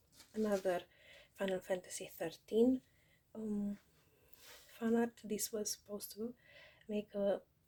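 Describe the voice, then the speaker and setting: A woman speaks at a medium pitch in a dark, mellow tone with monotone, flat intonation. Her pace is fairly slow, broken by long, frequent pauses. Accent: strong non-native. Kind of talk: casual talk to camera.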